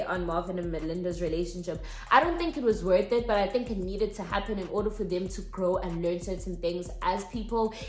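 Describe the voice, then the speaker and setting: Noticeable background noise and audible room echo accompany a woman talking in an animated tone at a fairly quick pace. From South Africa. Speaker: YouTuber. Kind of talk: casual vlog commentary.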